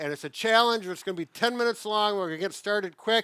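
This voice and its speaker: A man with a high pitch uses a raised, projected voice and a bright, sharp tone. The recording is very clean with a silent background, and the sound is dry and close with no echo. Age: 60s. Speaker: physical therapist. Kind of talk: casual talk to camera. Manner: upbeat, slightly breathless while exercising.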